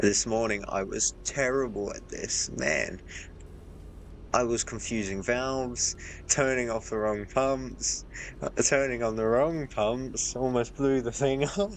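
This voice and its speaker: A man's voice of medium pitch, with ordinary pitch variation and a fairly slow pace. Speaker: gaming streamer. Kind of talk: live gameplay commentary. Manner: soft-spoken.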